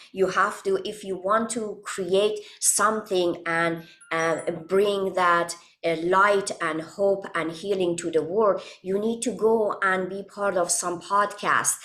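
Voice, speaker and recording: A woman with a non-native accent speaks very slowly at a medium pitch, her intonation fairly even. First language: not English. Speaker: holistic wellness coach. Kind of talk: interview. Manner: halting, many fillers.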